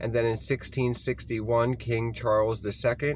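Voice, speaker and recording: A man with a Baltimore accent speaks at a fairly slow pace, somewhat breathy. His pitch is medium and his intonation fairly even. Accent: Baltimore American English. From Baltimore, Maryland. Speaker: history video host. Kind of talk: informal history reading to camera. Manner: halting, with ums and self-corrections.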